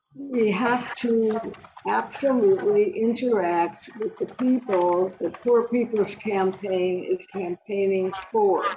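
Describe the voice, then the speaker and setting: Against noticeable background noise, a woman with an American accent speaks very slowly at a fairly high pitch with ordinary pitch variation. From US Midwest, Detroit. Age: 80s+. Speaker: climate activist. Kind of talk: personal testimony. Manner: halting.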